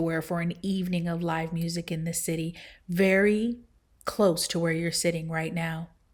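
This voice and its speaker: On a very clean recording with a silent background, a woman speaks at a moderate pace with a fairly low pitch. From Seattle, USA. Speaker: tech founder and public speaker. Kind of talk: inspirational keynote speech. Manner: captivating, energetic.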